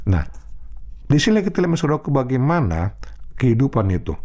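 A man's dark, mellow tone with vocal fry at a fairly quick pace. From North Sumatra, Indonesia. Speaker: pastor. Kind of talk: sermon.

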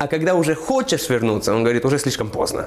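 Noticeable background noise sits under a man's lively intonation. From Moldova. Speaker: missionary. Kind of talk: interview testimony. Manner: halting.

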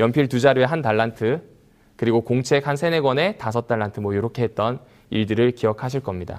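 The recording is very clean, and nothing can be heard behind the speaker. His delivery comes at a fairly quick pace from this male voice. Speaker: pastor. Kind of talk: sermon.

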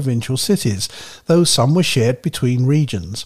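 With lively intonation, a somewhat breathy man talks at a fairly quick pace. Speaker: radio history researcher and co-presenter. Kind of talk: reading aloud.

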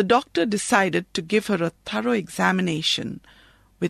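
The voice is a natural reading voice. It reads the text aloud.

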